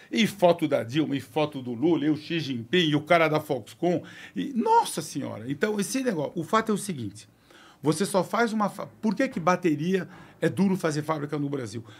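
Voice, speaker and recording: At a moderate pace, a man speaks with a fairly high pitch and lively intonation. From Brazil. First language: French (speaking Portuguese). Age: 60s. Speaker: car company executive; podcast guest. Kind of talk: interview. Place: studio. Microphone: studio mic.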